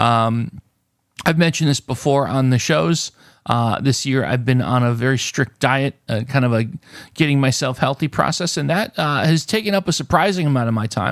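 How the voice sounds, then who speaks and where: With a medium pitch and ordinary pitch variation, a man talks at a moderate pace. The very clean recording has a silent background and a dry, close sound with no echo. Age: 50s. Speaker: YouTube word-game channel host. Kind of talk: casual viewer Q&A chat to camera. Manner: hesitant, many filler uhs and ums.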